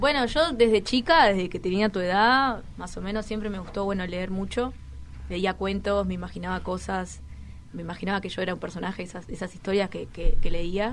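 With vocal fry and big swings in loudness, a woman speaks at a moderate pace in a medium pitch with ordinary pitch variation. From Uruguay, Toledo (Canelones). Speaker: rapper. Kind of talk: interview chat.

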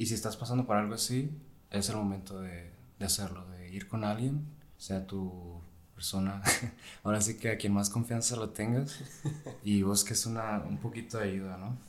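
A man talks at a moderate pace with a fairly low pitch and ordinary pitch variation. Audible room echo surrounds his voice. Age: 20s. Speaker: medical student. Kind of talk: casual chat.

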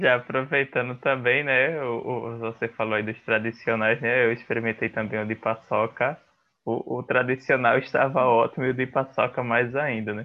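This is a plain, everyday voice. It moves at a moderate pace with fairly even intonation. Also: man, medium pitch for a man. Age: young. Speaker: podcast host. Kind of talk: interview.

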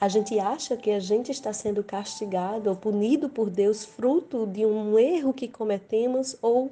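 A woman talks at a fairly slow pace with ordinary pitch variation. Noticeable background noise is present. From Brazil, Rio Grande do Norte. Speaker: evangelical preacher. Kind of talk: sermon.

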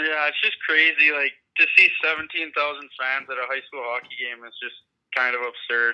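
A man's fairly high voice with an American accent, an ordinary speaking voice, moderate pace, fairly even intonation and big swings in loudness. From Minnesota. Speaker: junior hockey player. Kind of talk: casual interview. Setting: phone call.

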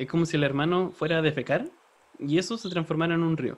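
A man talks at a very fast pace with a Chilean accent. His pitch is high. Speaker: podcast co-host. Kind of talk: casual comedic chat.

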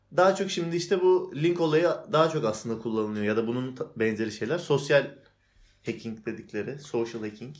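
A man talks at a fairly quick pace with lively intonation. His pitch is medium, in an unremarkable speaking voice. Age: 20s. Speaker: cyber security specialist. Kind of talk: casual chat.

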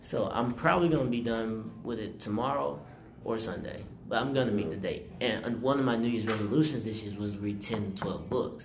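Delivered with an American accent at a fairly quick pace, the speech has ordinary pitch variation and audible room echo. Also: man, medium pitch for a man. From South Carolina, Rock Hill. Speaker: student podcast host. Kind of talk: casual chat.

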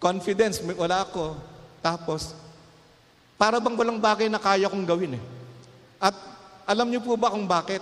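Through noticeable background noise, a high-pitched man speaks at a moderate pace with ordinary pitch variation and long, frequent pauses. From Philippines, Calumpit, Bulacan. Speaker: pastor. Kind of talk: sermon.

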